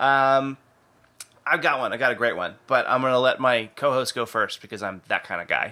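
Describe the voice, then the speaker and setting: With a bright, sharp tone, a man talks at a medium pitch and a moderate pace. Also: ordinary pitch variation. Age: 30s. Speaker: podcast host. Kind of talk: casual chat.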